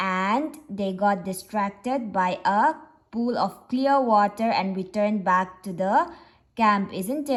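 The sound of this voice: An unforced reading voice, pitch moving by an ordinary amount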